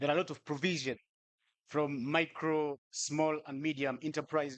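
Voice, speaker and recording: Speaking at a moderate pace with a non-native accent, a man uses a fairly high voice and monotone, flat intonation. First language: not English. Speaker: youth ambassador panelist. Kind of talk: panel discussion.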